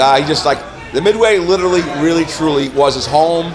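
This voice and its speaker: Over music in the background and audible room echo, a man speaks at a fairly quick pace and a fairly high pitch. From upstate New York, near Rochester. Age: 50s. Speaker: rock musician. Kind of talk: interview. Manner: hesitant, many fillers.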